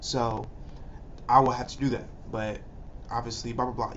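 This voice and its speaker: A man's voice with fairly even intonation in audible room echo. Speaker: YouTuber. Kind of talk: casual reaction video intro.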